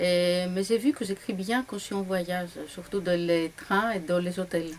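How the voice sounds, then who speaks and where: A woman with a Greek accent at a fairly slow pace, noticeable background noise behind her. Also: medium pitch for a woman, fairly even intonation. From Greece, Larissa. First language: Greek (speaking French). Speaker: novelist. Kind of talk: interview. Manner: hesitant, with fillers.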